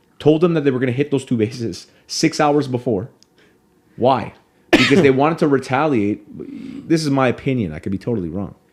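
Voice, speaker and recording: This man talks at a fairly quick pace with an animated tone, lively intonation and some vocal fry. His pitch sits in the medium range. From Canada. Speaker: podcast host. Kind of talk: casual chat.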